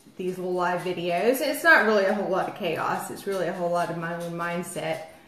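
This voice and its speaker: A woman talks, and audible room echo follows her words. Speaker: lifestyle live streamer. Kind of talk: casual live-stream chat. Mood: chatty, a bit self-mocking. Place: home room. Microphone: phone near.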